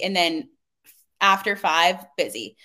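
On a very clean recording with a silent background, a woman speaks with an American accent. Her medium-pitched voice has a bright, sharp tone, and her pace is very slow. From Pittsburgh area, US. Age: 20s. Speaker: personal trainer. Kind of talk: casual interview chat.

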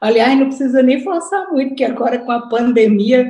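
A woman's high-pitched voice with a dark, mellow tone, ordinary pitch variation, and a northeastern Brazilian accent. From Brazil, Natal (Northeast). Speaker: retired education professor. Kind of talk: online lecture. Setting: video call.

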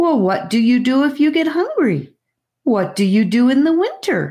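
A squeaky, female-sounding put-on character voice speaks at a high pitch and a moderate pace. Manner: shocked, demanding.

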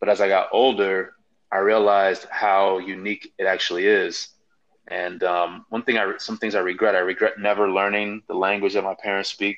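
A man with a Chicago accent at a moderate pace, fairly low in pitch, with monotone, flat intonation. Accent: Chicago American English. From US Midwest, Chicago, Nigerian family. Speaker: podcast panelist. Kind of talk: casual chat.

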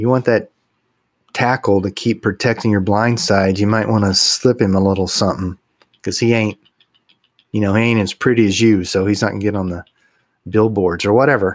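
A man with a Texas accent speaks at a fairly low pitch. His intonation is fairly even, and he takes long, frequent pauses. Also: fairly quick pace. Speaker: podcast co-host. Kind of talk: casual chat, humorous banter. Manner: humorous, jokey.

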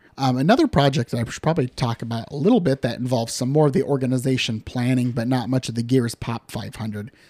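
A man's medium-pitched, dark, mellow voice with a Midwestern American accent and ordinary pitch variation, in a very clean recording with a silent background and a dry, close sound with no echo. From western Iowa (Harrison County, rural). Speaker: photographer and podcast host. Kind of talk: solo podcast monologue. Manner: casual, conversational with fillers.

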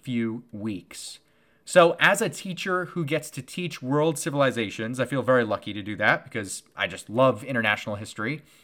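A man with an American accent speaks at a moderate pace, his bright, sharp tone swinging very widely in pitch. The recording is very clean, the background silent. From United States. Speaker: history teacher and podcast host. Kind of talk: educational monologue. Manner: casual, filler-heavy.

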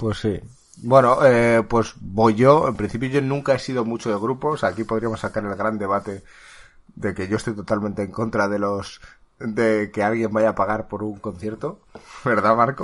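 A man has a plain, everyday voice, fairly low in pitch, with fairly even intonation. He keeps a moderate pace against a quiet background. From Spain. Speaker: podcast host. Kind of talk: casual chat.

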